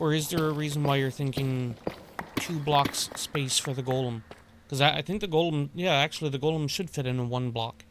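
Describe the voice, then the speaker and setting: The talk runs at a fairly quick pace over noticeable background noise. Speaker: streamer. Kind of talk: casual chat. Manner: soft-spoken.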